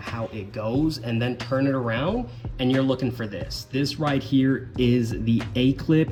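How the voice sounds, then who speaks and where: With music playing behind him, a man talks at a fairly slow pace in a medium pitch and with fairly even intonation. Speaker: car enthusiast. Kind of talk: casual car install tutorial to camera. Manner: monotone.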